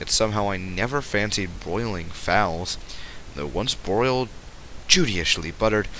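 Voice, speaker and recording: Noticeable background noise behind a man's fairly low pitch, moderate pace and ordinary pitch variation. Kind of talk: audiobook reading. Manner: occasional stutter.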